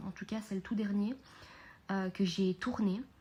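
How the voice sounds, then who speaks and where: A woman speaks at a medium pitch with fairly even intonation and a dark, mellow, somewhat breathy tone. The recording is very clean, with a silent background. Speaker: podcast host and mindset coach. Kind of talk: unscripted podcast monologue. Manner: calmer and quieter than usual; hesitant, many fillers.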